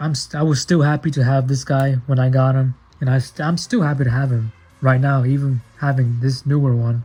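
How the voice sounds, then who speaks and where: A man speaks with music in the background. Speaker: toy collector youtuber. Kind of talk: unboxing review. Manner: animated.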